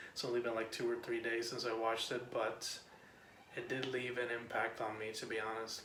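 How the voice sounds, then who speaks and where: Quiet and whispering, a man talks at a fairly quick pace over noticeable background noise. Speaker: film reviewer. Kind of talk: casual film review vlog. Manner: quiet, near whisper.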